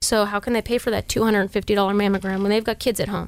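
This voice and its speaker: Very fast and fairly even in intonation, a woman speaks on a very clean recording with a silent background. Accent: American. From Sacramento, California. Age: 30s. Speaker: sheriff's deputy and local politician. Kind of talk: casual chat.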